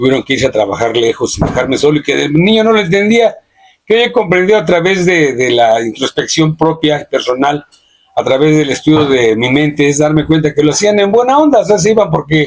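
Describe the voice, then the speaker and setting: Fairly quick and fairly high-pitched, a man's voice swings very widely in pitch while its loudness stays very even. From Mexico, Sierra de Hidalgo. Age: 60s. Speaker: podcast guest. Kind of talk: reflective personal testimony. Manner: halting, frequent repetitions.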